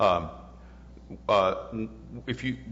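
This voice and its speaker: With an American accent, the voice moves through very wide pitch swings amid audible room echo. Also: man. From US South, New Orleans. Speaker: economics professor. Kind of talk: lecture Q&A. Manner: halting.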